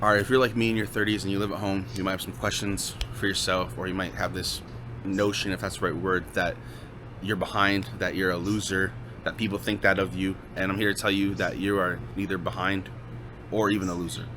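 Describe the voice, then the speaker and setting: At a fairly quick pace, a man with an ordinary speaking voice speaks at a fairly low pitch with ordinary pitch variation. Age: 30s. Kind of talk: casual talk to camera.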